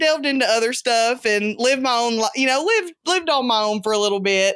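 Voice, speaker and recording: Here a woman talks in a Southern US accent with ordinary pitch variation. The recording is very clean, with a silent background. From US South. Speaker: podcast co-host, guest. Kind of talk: casual chat.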